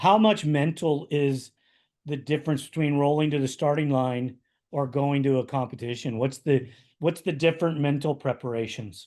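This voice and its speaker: The tone is dark and mellow, with ordinary pitch variation. The pace is moderate against a quiet background. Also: man, fairly high pitch for a man. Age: 50s. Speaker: podcast host. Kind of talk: podcast interview.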